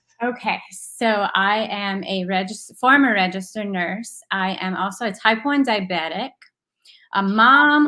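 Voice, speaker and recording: With a Southern Louisiana accent, a woman speaks at a fairly slow pace in a bright, sharp tone, her medium pitch moving with ordinary variation. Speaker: former nurse, stay-at-home mom. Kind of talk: interview.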